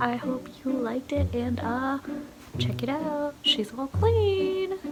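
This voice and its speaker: A soft-spoken woman talks at a very slow pace against noticeable background noise. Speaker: sewing and cleaning vlogger. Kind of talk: casual vlog talk. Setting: bedroom at night. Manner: hesitant, many fillers.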